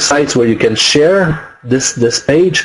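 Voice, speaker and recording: A man with a French accent at a very slow pace, his pitch varying in an ordinary way. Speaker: online marketing webinar presenter; webinar presenter. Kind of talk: webinar tutorial. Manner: halting, many fillers. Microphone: webcam.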